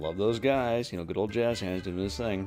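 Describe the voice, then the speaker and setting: Music plays behind a man whose fairly low voice shifts pitch in an ordinary way. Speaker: podcast host. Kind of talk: solo podcast monologue. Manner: halting, many fillers.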